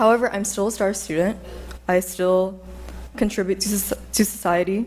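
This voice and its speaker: With an American accent, a woman talks at a medium pitch with fairly even intonation. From Kansas. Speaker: undergraduate student speaking at public comment. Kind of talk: public comment at city meeting.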